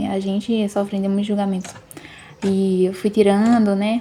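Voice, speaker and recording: The woman's medium-pitched voice stays monotone and flat while noticeable background noise plays behind it. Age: 30s. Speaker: vlogger. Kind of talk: casual video narration. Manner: casual, many fillers.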